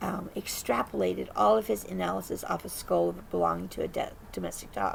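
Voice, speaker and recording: A woman keeps to a moderate speed while clear background noise carries on behind her. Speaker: cryptid researcher. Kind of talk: casual monologue. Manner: animated; filler-heavy, repeats okay.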